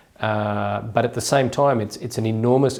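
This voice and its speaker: A man with an Australian accent talks at a fairly quick pace with fairly even intonation, over noticeable background noise. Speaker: journal editor, academic interviewer. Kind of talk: interview.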